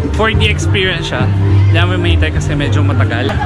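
Loud music plays behind a man talking at a fairly quick pace, the sound dry with no echo. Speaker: travel vlogger. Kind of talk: casual vlog chat. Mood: cheerful, laughing. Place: street. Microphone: phone near.

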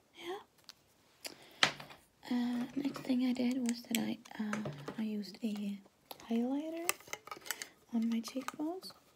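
A soft-spoken woman whispers in a calm tone at a fairly slow pace, with long, frequent pauses and noticeable background noise. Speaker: ASMR artist, makeup roleplay. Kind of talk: ASMR roleplay, soft-spoken makeup application. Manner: soft, whispery, calm. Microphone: phone near.

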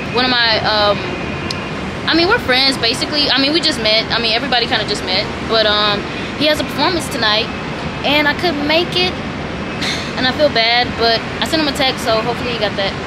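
A woman talks at a very fast pace with ordinary pitch variation. Loud background noise fills the recording. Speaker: vlogger. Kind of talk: casual vlog chat. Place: home room. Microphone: phone near.

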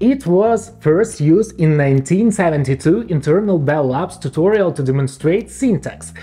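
Music plays in the background as a man talks with hardly any pauses. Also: moderate pace. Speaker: programmer and tech explainer. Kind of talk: casual tech explainer video narration. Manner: playful, humorous. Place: home room. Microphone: lapel.

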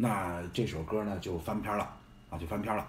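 A man speaks at a moderate pace, with audible room echo around his voice. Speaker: live streamer. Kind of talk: casual live-stream chat. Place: home room. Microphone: phone near.

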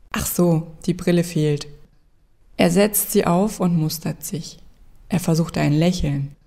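The voice has a calm, deadpan tone that is dark, mellow and somewhat breathy. It moves at a very slow pace with fairly even intonation. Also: woman. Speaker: narrator reading a fairy tale. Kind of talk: bedtime story telling. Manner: calm, storytelling cadence with wry, deadpan humor.

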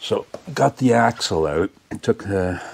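A man talks with little going on in the background. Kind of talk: tutorial. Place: garage. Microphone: phone near.

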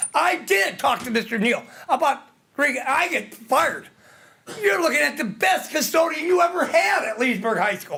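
Raised and projected, a man's voice hits an extremely high pitch with very wide pitch swings at a moderate pace, over noticeable background noise. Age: 60s. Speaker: public commenter at school board meeting. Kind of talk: public comment. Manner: rambling, halting.

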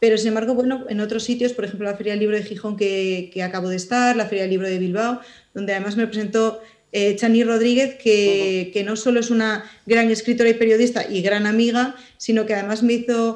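A woman at a very fast pace against a quiet background. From Spain, mining area of León mountains; León, Spain. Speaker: writer and journalist; interviewee. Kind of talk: interview. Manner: hesitant, many fillers. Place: home room. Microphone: video call.

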